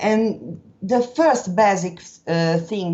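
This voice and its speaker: A woman talks with a strong Italian accent. Her intonation is lively. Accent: thick Italian. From Italy. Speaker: interview guest. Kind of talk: podcast interview. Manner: halting.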